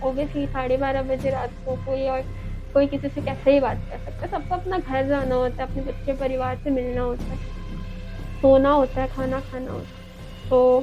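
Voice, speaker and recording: A woman speaks in a monotone, flat intonation while music plays in the background. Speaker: horror story narrator. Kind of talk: horror storytelling narration.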